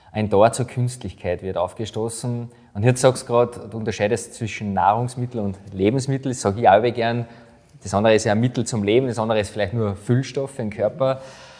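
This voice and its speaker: An unremarkable speaking voice from a man, fairly even in intonation, at a fairly quick pace. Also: medium pitch for a man. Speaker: podcast host. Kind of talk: podcast interview.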